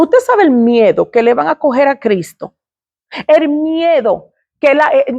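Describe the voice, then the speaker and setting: The voice moves at a very slow pace, and the sound is dry and close with no echo. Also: woman. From Dominican Republic / Puerto Rico heritage. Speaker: ministry speaker. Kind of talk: personal testimony.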